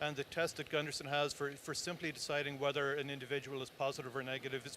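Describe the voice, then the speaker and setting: Someone talks at a very fast pace with an Irish accent. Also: man. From Ireland, Tipperary. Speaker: cancer research director. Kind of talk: interview.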